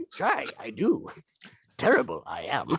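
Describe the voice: The pace is fairly slow. The voice is a put-on character voice.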